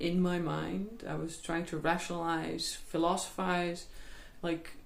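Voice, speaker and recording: With audible room echo, a woman in a Dutch accent speaks at a fairly slow pace and a medium pitch. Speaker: healer. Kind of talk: personal testimony. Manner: halting.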